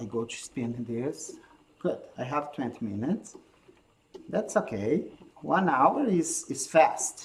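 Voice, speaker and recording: A man's fairly high voice with a Brazilian accent, very slow pace, long and frequent pauses, very wide pitch swings, big swings in loudness, and noticeable background noise. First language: Portuguese. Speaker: handspinning teacher. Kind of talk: live-stream tutorial. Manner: halting non-native phrasing.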